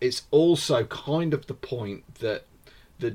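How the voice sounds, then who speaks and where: A man is speaking. His voice is somewhat breathy. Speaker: podcast host. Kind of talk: casual chat.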